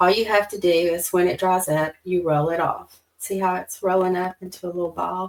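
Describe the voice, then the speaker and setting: A woman with a Southern accent speaks at a moderate pace in a fairly low pitch with monotone, flat intonation. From US South, Alabama. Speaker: card-making crafter. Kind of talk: tutorial. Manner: casual, chatty.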